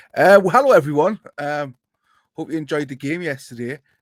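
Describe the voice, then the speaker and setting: A man with a Geordie accent speaks at a fairly quick pace, his pitch fairly high. His intonation is lively, and the sound is dry and close with no echo. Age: middle-aged. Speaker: football podcast host. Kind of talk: casual chat.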